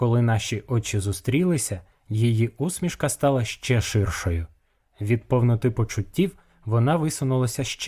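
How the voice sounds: A natural reading voice carries the recording.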